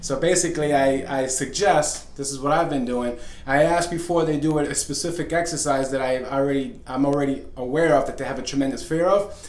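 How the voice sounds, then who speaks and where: Noticeable background noise and audible room echo surround this recording. A man talks with a fairly high pitch and fairly even intonation. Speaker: fitness coach and author. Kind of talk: video talk. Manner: fast; halting, many fillers.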